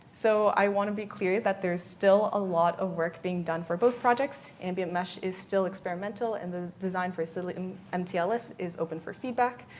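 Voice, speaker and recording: Speaking with hardly any pauses, a woman keeps a moderate pace, a medium pitch and fairly even intonation against noticeable background noise. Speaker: developer relations engineer, conference speaker. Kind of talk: conference talk.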